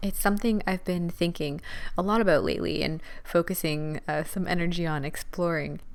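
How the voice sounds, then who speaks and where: The speaker is soft-spoken. The intonation stays fairly even. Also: woman. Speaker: podcast host, dance teacher. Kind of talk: solo podcast talk, motivational. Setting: at home, recording late at night. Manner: quiet, soft-spoken.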